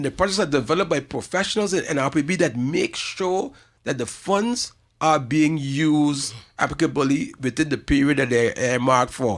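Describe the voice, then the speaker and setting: A man's fairly high voice in a St Maarten accent, lively in intonation, on a very clean recording with a silent background. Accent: St. Maarten Caribbean English. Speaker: community organization representative. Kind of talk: radio talk show interview. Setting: radio studio, live streamed. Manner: fast; halting, many repetitions.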